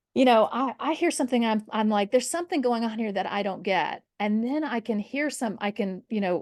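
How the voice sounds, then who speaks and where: A woman with an ordinary speaking voice talks at a fairly high pitch with ordinary pitch variation against a quiet background. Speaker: history professor. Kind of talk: interview conversation.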